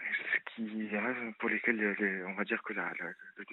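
This man talks at a moderate pace in a fairly low pitch, his intonation monotone and flat. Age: 30s. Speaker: caller. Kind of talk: appeal for donations.

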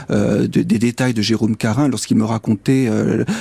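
With vocal fry and fairly even intonation, a man talks at a medium pitch. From northern France, near Douai. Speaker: magistrate and author. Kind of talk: interview. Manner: halting.

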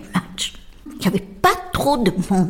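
Over noticeable background noise, a woman talks at a very slow pace with lively intonation. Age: 80s+. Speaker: football supporter. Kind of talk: interview testimony.

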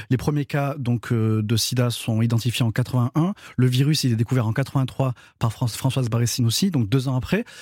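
This man's voice is somewhat breathy, sitting at a medium pitch with ordinary pitch variation. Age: 30s. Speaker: guest commentator. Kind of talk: casual chat. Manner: halting.

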